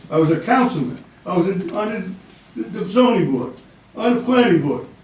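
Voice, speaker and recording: A man with an American accent talks at a moderate pace in a high pitch with very wide pitch swings, amid noticeable background noise and audible room echo. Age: 80s+. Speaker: former local official making public comment. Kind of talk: public comment at town meeting. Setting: town board meeting room. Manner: animated.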